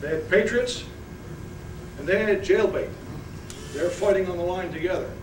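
Amid noticeable background noise, the speaker keeps a moderate pace with ordinary pitch variation and long, frequent pauses. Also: man, high pitch for a man. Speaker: war veteran. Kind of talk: speech at a reunion. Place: hall. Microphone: podium.

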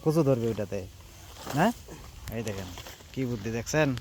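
A man's pitch rises and falls dramatically while clear background noise fills the recording. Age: 20s. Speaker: farming vlogger. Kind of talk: casual on-site interview. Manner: animated.

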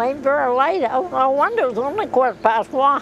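A woman's high voice, dry with no echo, against noticeable background noise. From Maine. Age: 80s+. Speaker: lobster fisher. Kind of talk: interview answer. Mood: wry, humorous storytelling.

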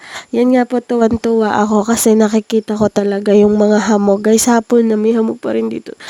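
A woman speaks at a fairly quick pace with a fairly high pitch and monotone, flat intonation. The sound is dry and close with no echo, though background noise is noticeable. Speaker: vlogger. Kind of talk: casual vlog narration. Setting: outdoors on a farm.

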